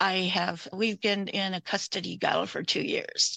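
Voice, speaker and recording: A woman's fairly low, bright and sharp voice with vocal fry, at a fairly slow pace and fairly even intonation, dry and close with no echo, over a quiet background. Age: 60s. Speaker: domestic violence survivor. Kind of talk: testimony.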